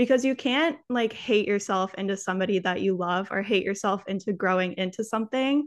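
In a quiet background, a woman speaks at medium pitch with ordinary pitch variation in a normal speaking voice. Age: 20s. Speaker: wellness content creator. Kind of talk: casual chat.

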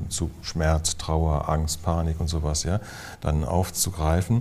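A man's very deep, low voice, dark and mellow in tone, somewhat breathy, at a fairly slow pace. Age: 60s. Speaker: physician and psychotherapist. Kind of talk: interview conversation.

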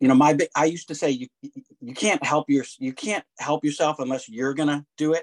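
At a moderate pace, a man talks in a fairly high pitch, the sound dry and close with no echo. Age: 60s. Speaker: author. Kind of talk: casual chat.

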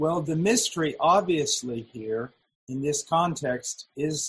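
Speaking at a very slow pace, a man with a fairly high, somewhat breathy voice shows ordinary pitch variation, recorded dry and close with no echo. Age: 50s. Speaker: preacher. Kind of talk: sermon. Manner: halting.

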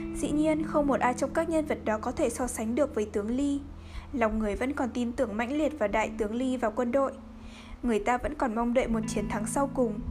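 Solemn, dramatic tone at a fairly quick pace, ordinary pitch variation, and music in the background. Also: woman, high pitch for a woman. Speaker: podcast narrator reading a novel aloud. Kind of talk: literary audiobook reading, measured narration with dialogue passages. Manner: steady, even storytelling pace, solemn and dramatic; soft and calming late-night tone.

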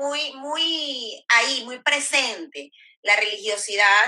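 Pitch variation here is ordinary. The speaker is a woman. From Venezuela. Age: 30s. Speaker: sexologist and women's rights activist. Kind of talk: interview.

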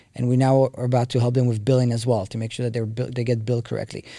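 In a very clean recording with a silent background, a man with an Israeli accent talks at a very fast pace. His medium-pitched voice has a dark, mellow tone and flat, monotone intonation. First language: Hebrew. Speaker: tech company co-founder. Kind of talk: interview.

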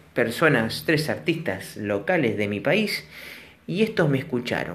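A man with a Rioplatense accent talks at a fairly slow pace, and room echo can be heard. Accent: Argentine Rioplatense Spanish. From Argentina, La Plata. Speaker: storytelling vlogger. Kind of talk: storytelling monologue; listener shout-outs. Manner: casual.

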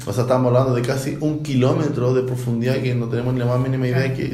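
A man at medium pitch talking at a very fast pace, with audible room echo and noticeable background noise. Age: 30s. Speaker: explorer and sea kayaker. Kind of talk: research interview.

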